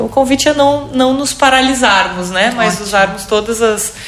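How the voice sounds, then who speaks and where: There's noticeable background noise as a woman talks at a moderate pace with ordinary pitch variation. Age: 30s. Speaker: entrepreneur, co-founder and CEO of a business community. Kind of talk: interview.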